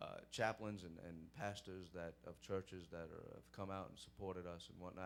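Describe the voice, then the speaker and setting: Fairly even intonation carries this voice with a Brooklyn accent. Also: man. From New York (Brooklyn). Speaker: police sergeant. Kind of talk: Q&A talk at church program. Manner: hesitant, many fillers.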